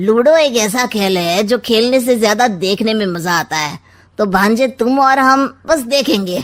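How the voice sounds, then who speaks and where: A woman performs a put-on character voice. She uses lively intonation at a moderate pace. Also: fairly high pitch for a woman. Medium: read story. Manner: sly, mocking, wisecracking.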